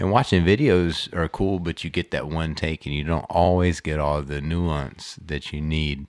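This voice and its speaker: In a very clean recording with a silent background, a man with a very deep, low pitch speaks at a moderate pace with fairly even intonation and hardly any pauses. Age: 40s. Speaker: podcast host, martial arts practitioner. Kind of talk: casual chat.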